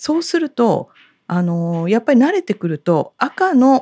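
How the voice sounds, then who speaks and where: A woman with a dark, mellow tone speaks at a moderate pace with very wide pitch swings, in a dry, close sound with no echo. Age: 50s. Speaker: fortune teller and podcast co-host. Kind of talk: casual chat. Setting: office. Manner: dignified.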